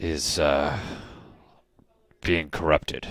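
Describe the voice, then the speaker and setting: Putting on a character voice, a man sounds raspy at a very deep, low pitch. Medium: actual play. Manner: slow, deliberate, folksy.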